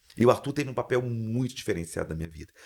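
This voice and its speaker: Over a silent background in a very clean recording, a man at medium pitch talks at a very fast pace with lively intonation. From Brazil, Espírito Santo interior. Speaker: motivational speaker and mindset coach. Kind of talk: podcast interview. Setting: studio. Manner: animated.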